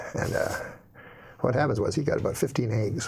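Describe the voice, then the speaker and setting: Fairly quick, somewhat breathy speech from a man, medium in pitch with ordinary variation. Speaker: comedian. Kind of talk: comedic joke storytelling.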